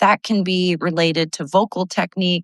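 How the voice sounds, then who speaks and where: A woman talks at a moderate pace and medium pitch in a normal speaking voice. The sound is dry and close, with no echo. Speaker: vocal coach and singer. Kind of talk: casual live video talk. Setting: live video.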